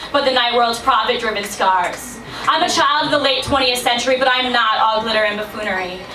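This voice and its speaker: Over noticeable background noise, a woman with an American accent speaks in a raised, projected voice at a fairly quick pace, with ordinary pitch variation. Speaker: slam poet. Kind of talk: spoken word poetry performance. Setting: live venue.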